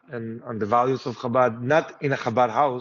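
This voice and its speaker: Here a man with an Israeli accent talks in a medium pitch. His pace is moderate. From Israel, Jerusalem. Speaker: rabbi. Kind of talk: interview. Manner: halting, many fillers.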